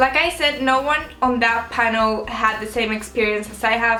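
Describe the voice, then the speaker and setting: A woman speaks with a fairly high voice. The room echo is audible, and background noise is noticeable. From Spain. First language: Spanish. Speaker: YouTuber. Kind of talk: vlog talk to camera. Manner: casual, conversational.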